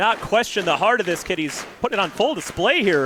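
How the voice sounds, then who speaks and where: A man's high-pitched voice, fairly quick and full of energetic excitement, with lively intonation over noticeable background noise. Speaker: wrestling commentator. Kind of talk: live wrestling match play-by-play commentary. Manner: energetic, excited.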